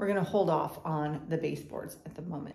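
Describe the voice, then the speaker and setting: A woman with a fairly low pitch talks at a moderate pace in fairly even intonation, with audible room echo. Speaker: home renovation vlogger. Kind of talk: casual vlog chat. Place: home room. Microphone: phone near.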